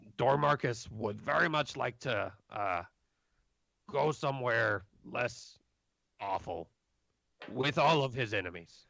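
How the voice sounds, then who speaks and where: A man's put-on character voice, medium in pitch and fairly slow, with lively intonation and long, frequent pauses. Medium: actual play. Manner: refers to himself in third person, broken grammar.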